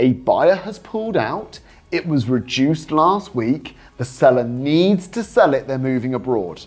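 This man's intonation is lively. He keeps a moderate pace. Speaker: property investment coach. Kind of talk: talking-head explainer. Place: studio. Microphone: lapel.

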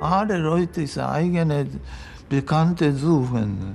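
Speaking at a very slow pace with a Japanese accent, the voice has a dark, mellow tone over light background noise. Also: man. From Japan, Hiroshima. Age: 80s+. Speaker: retired physical chemistry professor, Hiroshima survivor. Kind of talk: interview answer. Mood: grave, reflective. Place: home room.

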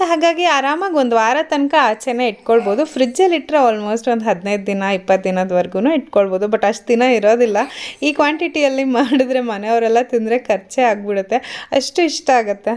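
Cheerful in tone, a woman speaks in a fairly high pitch with lively intonation. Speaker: vlogger. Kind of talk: voice-over vlog narration. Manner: cheerful, smiling.

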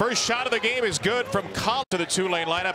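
An energetic man speaks over noticeable background noise. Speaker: play-by-play commentator. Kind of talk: live play-by-play college basketball commentary. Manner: brisk, energetic play-by-play delivery; rapid-fire name and action calls.

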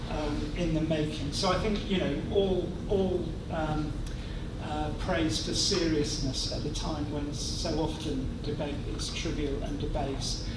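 Amid loud background noise and audible room echo, a man talks at a fairly slow pace. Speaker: university institute director. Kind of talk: welcome speech. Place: hall. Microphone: podium.

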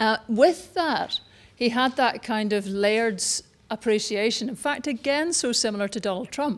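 Her pace fairly slow, a woman with a Scottish accent speaks at a fairly high pitch with ordinary pitch variation. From Scotland. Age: 50s. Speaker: speaker at a public talk. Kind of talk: public talk; audience Q&A. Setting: stage with audience. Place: hall. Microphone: handheld.

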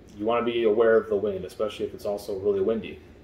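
A man's dark, mellow voice in a room with audible echo and light background noise. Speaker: product reviewer. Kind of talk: tutorial. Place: home room.

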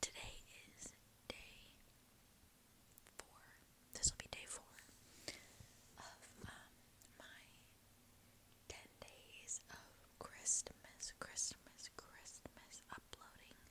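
Very slow whispering broken by long, frequent pauses. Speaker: ASMR creator. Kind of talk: ASMR intro talk to camera. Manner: whispered. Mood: cheerful, smiling. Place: home room. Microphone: earbuds.

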